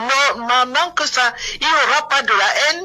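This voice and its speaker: A woman speaks very slowly in a raised, projected voice with lively intonation over noticeable background noise. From southern Cameroon. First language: Bulu (speaking French). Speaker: political activist. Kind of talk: heated debate. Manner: animated.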